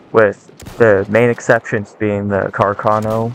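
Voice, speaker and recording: A man talks at a moderate pace in a fairly low voice. His intonation is monotone and flat, with noticeable background noise. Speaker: gaming and weapons video creator. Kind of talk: scripted monologue. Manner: stuttering; halting.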